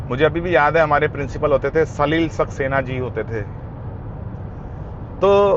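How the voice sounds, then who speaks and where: A man talks at a moderate pace with a fairly high pitch and ordinary pitch variation. Noticeable background noise runs under his voice. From India, army postings (Siliguri, Sagar MP). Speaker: motorcycle vlogger. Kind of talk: casual vlog storytelling. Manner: casual, hesitant with fillers.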